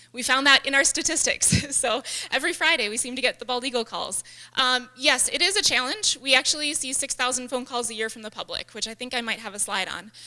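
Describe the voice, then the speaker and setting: A raised, projected woman's voice, high-pitched, at a very fast pace, with big swings in loudness, ordinary pitch variation and noticeable background noise. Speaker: wildlife rehabilitator. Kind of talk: lecture.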